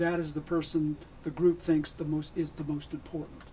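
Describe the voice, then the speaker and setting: A man talks at a moderate pace. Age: 70s. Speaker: licensed professional counselor. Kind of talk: radio interview.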